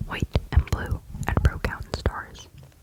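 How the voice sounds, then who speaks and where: A woman whispers fairly slowly as noticeable background noise goes on around her. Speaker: ASMR creator. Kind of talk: ASMR book reading of a children's story. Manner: whispered, soft-spoken.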